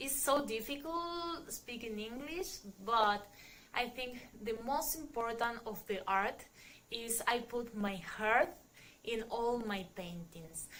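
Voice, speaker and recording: Speaking at a very slow pace, a woman uses lively intonation and a fairly high pitch. Audible room echo surrounds her voice. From Argentina (Salta, then Buenos Aires). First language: Spanish. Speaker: painter and tattoo artist. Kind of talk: interview. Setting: studio. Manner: halting.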